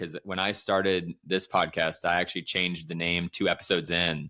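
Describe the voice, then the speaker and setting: In a very clean recording with a silent background, a man with a Midwestern American accent has a very deep, low pitch and a bright, sharp tone at a moderate pace. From St. Louis, US Midwest. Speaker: podcast host. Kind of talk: casual interview chat.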